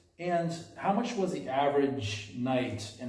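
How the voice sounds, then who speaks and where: Amid audible room echo, the voice moves with ordinary pitch variation. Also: man. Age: 40s. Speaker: hostel travel interviewer. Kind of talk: casual interview. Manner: loud.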